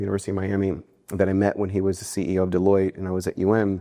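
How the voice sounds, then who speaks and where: Against a quiet background, a man talks very fast in a dark, mellow tone at a fairly low pitch. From US Northeast (New Jersey), Cuban-American family. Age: 40s. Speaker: philanthropy fundraiser. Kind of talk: interview.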